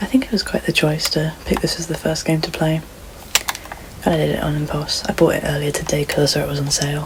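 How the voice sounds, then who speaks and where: Soft-spoken delivery at a very fast pace, with ordinary pitch variation and noticeable background noise. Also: woman, very deep, low pitch for a woman. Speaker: gaming streamer. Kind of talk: let's play commentary. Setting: in bed at home. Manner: deep low register. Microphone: poor home mic.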